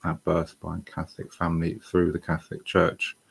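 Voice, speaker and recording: With a British accent, a man speaks at a very deep, low pitch. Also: dry, close sound with no echo. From England. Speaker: online English tutor. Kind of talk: personal testimony livestream. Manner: halting, with many fillers.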